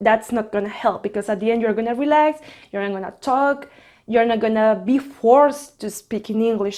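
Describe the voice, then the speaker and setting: With a Spanish accent, a woman speaks at a moderate pace in a fairly high, dark, mellow voice with fairly even intonation. The recording is very clean, with a silent background. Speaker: flight attendant and vlogger. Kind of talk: casual tutorial vlog.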